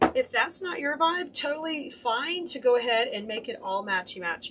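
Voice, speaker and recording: A woman's voice is raised and projected, high in pitch. Her pitch swings very widely. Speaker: craft live-stream host. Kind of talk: tutorial. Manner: animated.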